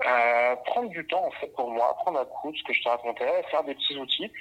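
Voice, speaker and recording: Speaking at a moderate pace, a man has a normal speaking voice with fairly high pitch. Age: 20s. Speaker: camera assistant and photographer. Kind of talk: casual interview.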